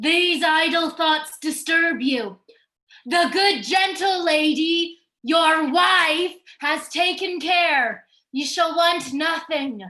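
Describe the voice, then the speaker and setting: Using a put-on character voice, a woman speaks at a very slow pace with an extremely high pitch and very even loudness. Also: ordinary pitch variation. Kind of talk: Jacobean stage verse reading. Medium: stage play.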